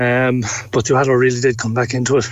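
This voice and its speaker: Someone talks at a fairly quick pace with a Cork accent. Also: man. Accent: Cork Irish. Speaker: sports reporter. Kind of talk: sports analysis.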